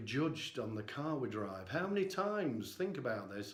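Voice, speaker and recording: A man speaks at a moderate pace. There is audible echo from the room. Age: 60s. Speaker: vlogger. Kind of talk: personal vlog monologue.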